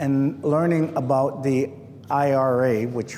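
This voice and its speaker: A man talks at medium pitch with an American accent. Audible room echo and noticeable background noise fill the recording. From Milwaukee, Wisconsin. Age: 60s. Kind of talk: oral history talk. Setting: nature center visitor hall with audience.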